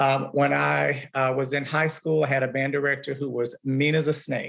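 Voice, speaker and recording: Fairly high in pitch, a man with a Southern US accent speaks with fairly even intonation. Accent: Southern drawl. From Alabama. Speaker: music teacher. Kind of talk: panel discussion.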